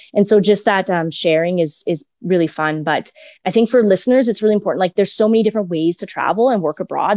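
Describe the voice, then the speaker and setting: Very fast speech in a Western Canadian accent. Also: woman. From Edmonton, Alberta, Canada. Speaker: podcast producer. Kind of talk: interview. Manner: halting, many fillers.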